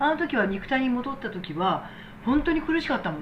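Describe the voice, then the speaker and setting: A woman speaks in a high pitch. Her voice makes very wide pitch swings. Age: 60s. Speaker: medical technician and business owner. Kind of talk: casual talk replying to viewer comments.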